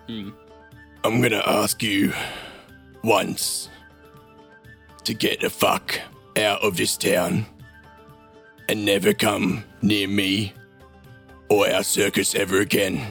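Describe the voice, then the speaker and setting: Growling and raspy, a man does a put-on character voice at a fairly low pitch and a very slow pace, with long, frequent pauses and faint music in the background. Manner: threatening, intimidating.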